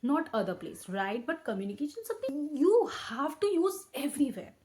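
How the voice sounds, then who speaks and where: A woman speaks with an Indian accent. Her pitch is high. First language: Hindi. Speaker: educational YouTuber. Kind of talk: tutorial. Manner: halting, with frequent self-corrections.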